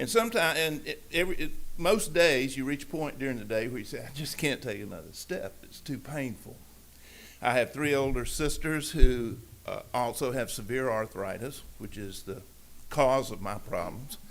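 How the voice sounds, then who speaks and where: A man speaks at medium pitch and a moderate pace, with lively intonation. His loudness swings widely, and the room echo is audible. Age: 70s. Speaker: public commenter at city council meeting. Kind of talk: public comment testimony. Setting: city council meeting. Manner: halting.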